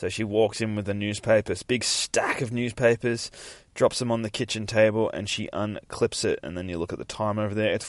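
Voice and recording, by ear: Here a person is reading aloud in a natural voice.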